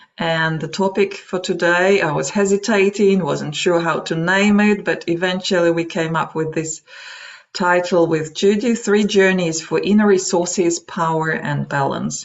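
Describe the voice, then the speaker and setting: Calm in tone, a woman with a Russian accent speaks with a fairly low pitch and fairly even intonation. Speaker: meditation trainer and psychology practitioner. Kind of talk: webinar talk; guided meditation. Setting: online webinar. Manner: calm, slow guidance.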